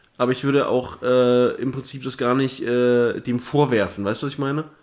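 A man's voice at medium pitch with fairly even intonation. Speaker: podcast co-host and streamer. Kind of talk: casual chat. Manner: soft-spoken.

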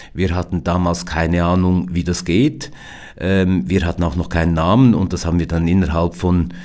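With vocal fry and a dark, mellow tone, a man speaks at a moderate pace in a very deep, low pitch. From Switzerland, Biel/Seeland (German-French language border). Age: 50s. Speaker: company founder. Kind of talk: interview. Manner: hesitant, many fillers.

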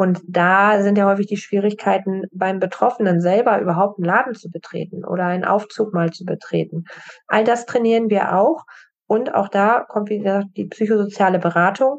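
At a moderate pace, a woman speaks in an ordinary speaking voice at medium pitch with fairly even intonation. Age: 40s. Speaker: assistance dog trainer. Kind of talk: interview.

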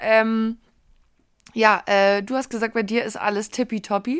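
A woman with an unremarkable speaking voice talks fairly slowly at a fairly high pitch with fairly even intonation, on a very clean recording with a silent background. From Berlin. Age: 30s. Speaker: podcast co-host. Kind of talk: casual chat.

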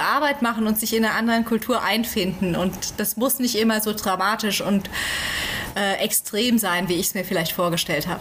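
Over noticeable background noise, a woman talks with a fairly high pitch. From Germany, central Hesse. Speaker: Bible translation worker. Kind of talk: interview. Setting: remote call from home.

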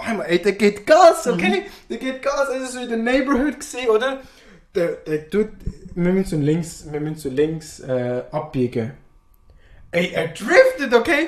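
A man's extremely high-pitched voice at a very slow pace, with very wide pitch swings and long, frequent pauses. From Afghanistan. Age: 20s. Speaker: podcast guest. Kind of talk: casual chat.

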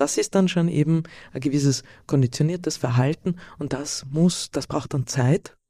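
With a slight Carinthian accent, a woman with a dark, mellow tone and a very deep, low pitch speaks at a moderate pace with ordinary pitch variation, recorded very cleanly over a silent background. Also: long, frequent pauses. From Austria, Carinthia (Villach). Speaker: sleep coach. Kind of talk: interview. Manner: halting.

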